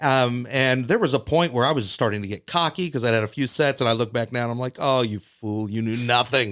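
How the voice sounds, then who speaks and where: In a very clean recording with a silent background, a man with an ordinary speaking voice talks at a fairly quick pace with hardly any pauses, his medium pitch showing ordinary pitch variation. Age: 40s. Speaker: stand-up comedian. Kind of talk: casual chat.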